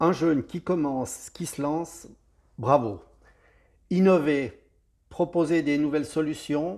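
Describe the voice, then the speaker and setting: The speaker has a Swiss accent and talks at a very slow pace with long, frequent pauses and ordinary pitch variation. The recording is very clean, with a silent background. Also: man, fairly high pitch for a man. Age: 60s. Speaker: security expert. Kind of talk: interview.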